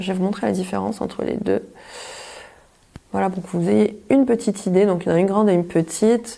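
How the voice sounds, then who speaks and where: Talking at a very fast pace with long, frequent pauses, a woman uses ordinary pitch variation. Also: medium pitch for a woman. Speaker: beauty vlogger. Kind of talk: product review tutorial.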